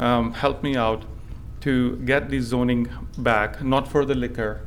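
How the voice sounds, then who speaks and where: Audible room echo surrounds a man speaking at a medium pitch with monotone, flat intonation. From India. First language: not English; English is his third language. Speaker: small business owner. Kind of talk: public hearing testimony. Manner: halting, many fillers.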